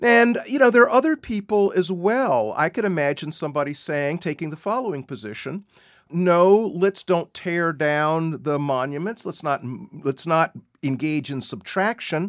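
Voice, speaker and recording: A man's high-pitched voice with lively intonation at a moderate pace, in a very clean recording with a silent background. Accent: American. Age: 60s. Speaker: law professor. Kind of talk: interview.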